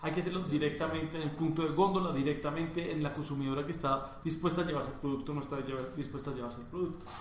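The man talks at a very fast pace, his fairly high pitch following a fairly even intonation. Audible room echo and noticeable background noise fill the recording. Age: 20s. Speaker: entrepreneur, chocolate company co-founder. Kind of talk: interview.

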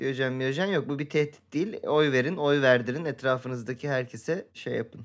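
At a moderate pace and a fairly high pitch, a man speaks in a plain, everyday voice with ordinary pitch variation against a quiet background. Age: 30s. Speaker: podcast co-host. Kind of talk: casual chat.

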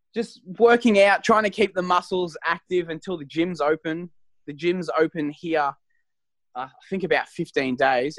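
Speaking in an Australian accent, a man uses a fairly high pitch, lively intonation and big swings in loudness at a moderate pace. The sound is dry and close, with no echo. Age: young. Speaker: professional wrestler. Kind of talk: interview.

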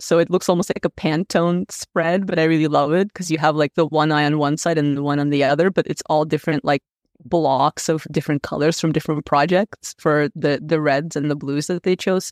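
Heard in a dry, close sound with no echo and a very clean recording with a silent background, a woman speaks at a fairly quick pace with a very deep, low pitch and fairly even intonation. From Russia (Moscow), raised in Canada. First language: Russian. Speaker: data visualization designer. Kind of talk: casual interview.

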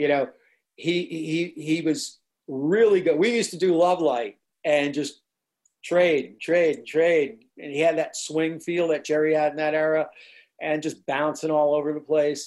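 A man speaks with an American accent in an ordinary speaking voice, fairly high in pitch. His pace is fairly slow and his intonation fairly even. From New Jersey. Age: 60s. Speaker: musician. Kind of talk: interview recollection.

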